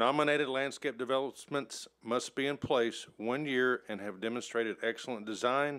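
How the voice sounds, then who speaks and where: Here a man speaks at a moderate pace with ordinary pitch variation. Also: quiet background. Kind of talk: public meeting presentation. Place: hall. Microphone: podium.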